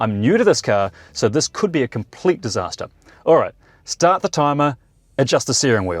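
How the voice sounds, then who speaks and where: A man with a New Zealand accent speaks at a fairly high pitch with vocal fry and very wide pitch swings, the sound dry and close with no echo. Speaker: electric car reviewer. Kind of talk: car review walkaround. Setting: car launch event. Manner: fast; animated.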